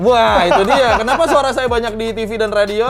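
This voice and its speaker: With music in the background, a man talks at a fairly quick pace in an extremely high pitch. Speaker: airline pilot. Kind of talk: casual talk to camera.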